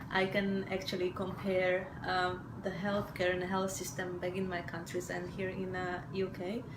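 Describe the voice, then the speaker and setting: A woman's monotone, flat delivery with hardly any pauses, audible room echo and noticeable background noise. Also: medium pitch for a woman, moderate pace. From Slovakia. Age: 40s. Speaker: mother sharing birth story. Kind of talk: testimony. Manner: hesitant, many fillers.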